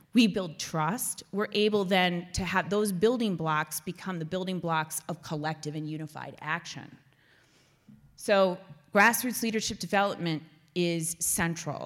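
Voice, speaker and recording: A woman with an American accent speaks at a fairly slow pace. Her pitch is fairly low with ordinary variation, in a plain, everyday voice. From US Midwest, small-town Iowa. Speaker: community organizing director. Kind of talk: keynote presentation with Q&A. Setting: stage with live audience, live-streamed.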